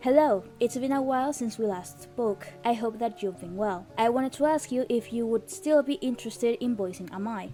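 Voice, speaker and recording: Music plays behind a woman who speaks with a fairly high pitch and lively intonation, hardly pausing. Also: fairly quick pace. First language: not English. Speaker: indie game developer. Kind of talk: personal commentary video.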